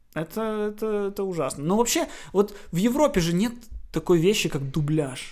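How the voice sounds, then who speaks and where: Animated in tone, a man speaks at a moderate pace with lively intonation and a high pitch. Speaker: podcast co-host. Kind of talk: casual chat. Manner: animated, joking.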